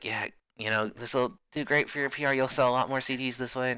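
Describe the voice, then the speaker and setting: A man's raspy, put-on character voice, medium in pitch, very fast, with fairly even intonation. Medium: actual play. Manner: breezy, salesy.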